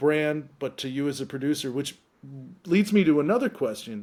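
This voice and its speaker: Recorded very cleanly against a silent background, a man talks at a fairly slow pace in a fairly high voice. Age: 50s. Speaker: investor. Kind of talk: casual chat.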